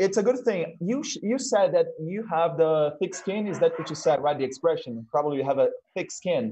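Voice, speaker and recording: With a Portuguese accent, this speaker uses a dark, mellow tone and lively intonation at a moderate pace with hardly any pauses, over light background noise. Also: man, high pitch for a man. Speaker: talk show host at a language school. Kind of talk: casual interview chat. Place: home room. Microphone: video call.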